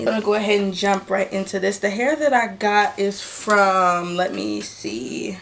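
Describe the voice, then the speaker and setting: Noticeable background noise accompanies a woman who speaks at a fairly slow pace with lively intonation. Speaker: beauty vlogger. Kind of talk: product unboxing vlog. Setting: home, filming in front of a mirror.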